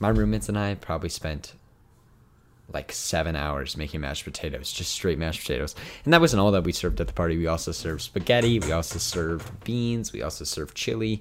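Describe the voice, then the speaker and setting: Very fast and animated, a man speaks with a very deep, low pitch, vocal fry and lively intonation. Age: 20s. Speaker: podcast host. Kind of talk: casual chat. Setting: home room, video recording.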